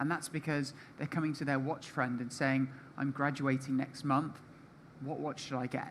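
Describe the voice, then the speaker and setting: A British accent at a moderate pace. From Britain. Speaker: panelist. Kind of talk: panel discussion.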